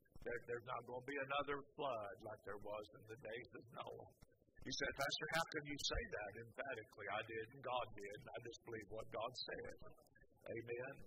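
Loud background noise fills the recording. Over it, a man talks at a moderate pace. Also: dry sound with no echo. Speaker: pastor. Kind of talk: sermon. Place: church.

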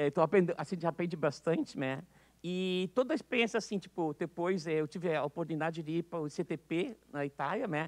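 The pace is moderate. The background is quiet. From Brazil, Rio Grande do Sul. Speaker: physics professor. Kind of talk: testimony. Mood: reminiscent, warm. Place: hall.

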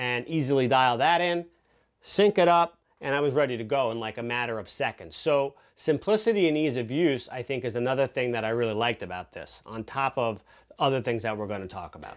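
A man speaks at a fairly quick pace with lively intonation. The background is quiet. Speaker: product reviewer. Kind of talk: product review talk to camera. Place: studio.

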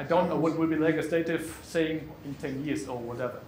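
Speaking at a fairly quick pace with fairly even intonation, a man with a fairly high pitch is heard over light background noise and audible room echo. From Germany. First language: German. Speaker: conference speaker, pretreatment specialist; conference speaker. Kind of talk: conference presentation. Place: meeting room.

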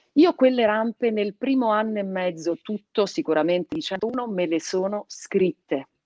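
A woman talks at a moderate pace with lively intonation and hardly any pauses, in a dry sound with no echo over a quiet background. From Piedmont, Italy (born in Calabria); Piedmont, Italy. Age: 30s. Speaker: radio host. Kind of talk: casual interview. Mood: warm, animated. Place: home room. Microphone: video call.

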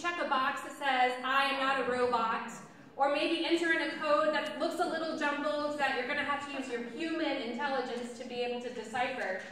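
Fairly quick speech with fairly even intonation rings out in a room with strong echo over light background noise. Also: woman, high pitch for a woman. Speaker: pastor. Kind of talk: sermon. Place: church. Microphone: camera far.

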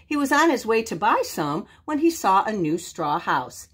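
An unforced reading voice is all that comes through.

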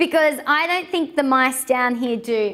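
A woman speaks slowly in a high voice with a fairly bright tone. Her intonation is lively.

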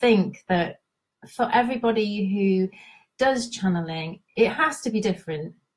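A woman speaks at a fairly slow pace with lively intonation. Her voice is somewhat breathy, and the background is quiet. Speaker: intuitive guidance coach. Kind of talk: live stream talk. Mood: warm and cheerful. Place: home room. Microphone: headset.

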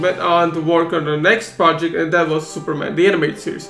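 Faint music plays in the background as a man speaks at a high pitch with audible room echo. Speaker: vlogger. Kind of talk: casual vlog chat. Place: home room. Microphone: webcam.

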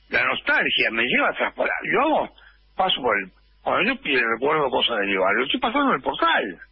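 Fairly quick speech from a man, with noticeable background noise. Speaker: actor and writer. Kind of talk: radio interview.

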